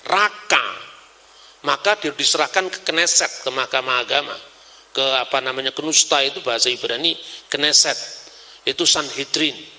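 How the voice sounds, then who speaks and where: Lively intonation from a man at a moderate pace, with noticeable background noise. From Java, Indonesia. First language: Javanese (speaking Indonesian). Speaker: religious scholar. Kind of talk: lecture. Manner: animated.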